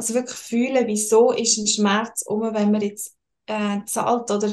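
The woman's voice sits at a fairly high pitch in a monotone, flat intonation. She talks at a fairly slow pace. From Switzerland, Lucerne. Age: 20s. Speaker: financial and tax consultant. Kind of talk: interview.

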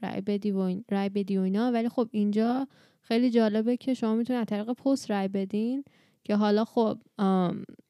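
Over a very clean recording with a silent background and a dry, close sound with no echo, a woman speaks in a dark, mellow tone at medium pitch, with fairly even intonation and a fairly quick pace. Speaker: podcast co-host. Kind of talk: casual chat.

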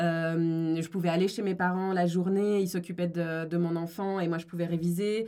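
A woman with an ordinary speaking voice talks at a fairly slow pace with a fairly low pitch. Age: 20s. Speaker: lawyer and discrimination consultant. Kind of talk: interview.

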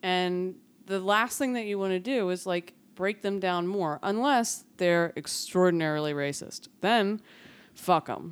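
A woman with a plain, everyday voice speaks with an American accent at a fairly slow pace. Her pitch is medium, with ordinary variation. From Philadelphia, North Philly. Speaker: comedian. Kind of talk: casual chat.

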